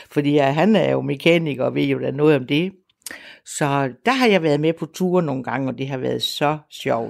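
A woman's very deep, low voice at a moderate pace with ordinary pitch variation, on a very clean recording with a silent background. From Denmark, Salling (Jutland). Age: 70s. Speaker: retired artist and moped club member. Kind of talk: casual conversation, reportage interview. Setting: outdoors, moped ride.

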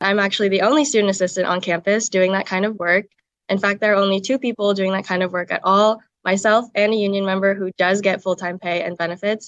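Speaking very fast, a woman keeps a medium pitch and fairly even intonation. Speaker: university student worker. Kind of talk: recorded interview soundbite.

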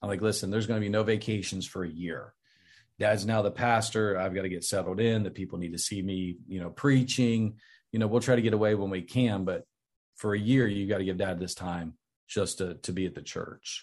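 This is an unremarkable speaking voice with an American accent. It moves at a fairly quick pace with fairly even intonation. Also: man, fairly low pitch for a man. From southeastern Ohio. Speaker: pastor. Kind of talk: interview testimony.

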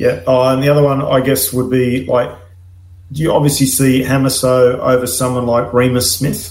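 In a Queensland accent, a man speaks at a moderate pace, somewhat breathy, with audible room echo. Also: medium pitch for a man, ordinary pitch variation. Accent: Australian, Queensland. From Gladstone, Queensland, Australia. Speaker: former rugby league player and assistant coach. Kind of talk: casual chat.

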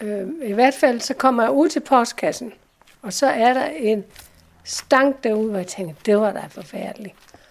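Using a plain, everyday voice, a woman speaks at a fairly slow pace with fairly high pitch, lively intonation and big swings in loudness. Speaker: letter recipient. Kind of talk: interview.

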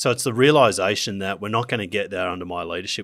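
With ordinary pitch variation, a man speaks in an Australian accent on a very clean recording with a silent background. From Queensland, Australia (Gold Coast). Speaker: business founder. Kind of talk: interview.

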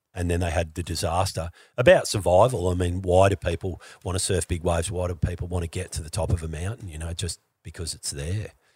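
Over a very clean, silent background, a man with an Australian accent talks at a very fast pace in a very deep, low pitch, somewhat breathy, with fairly even intonation and big swings in loudness. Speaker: skier and entertainer. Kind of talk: casual chat.

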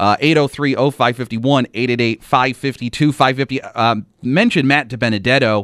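In an unremarkable speaking voice, a man at medium pitch talks with very even loudness, fairly even intonation and hardly any pauses, the sound dry and close with no echo. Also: moderate pace. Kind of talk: radio DJ patter: live sports-radio hosting, chatty race talk with call-in number reads.

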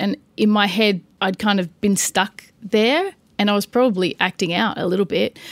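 A woman speaks at a medium pitch. She keeps a moderate pace. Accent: Australian. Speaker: financial services director. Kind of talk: interview.

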